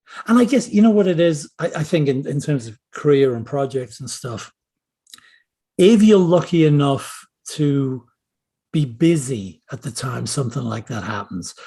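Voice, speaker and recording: This man's voice is fairly high and somewhat breathy, with very wide pitch swings. He speaks at a moderate pace, and his loudness rises and falls a lot. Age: 60s. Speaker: screenwriter and novelist. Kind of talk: casual interview chat.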